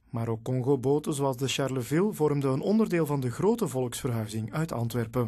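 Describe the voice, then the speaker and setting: This man has a plain, everyday voice at a medium pitch with lively intonation. He talks at a fairly quick pace with hardly any pauses. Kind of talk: TV news report narration.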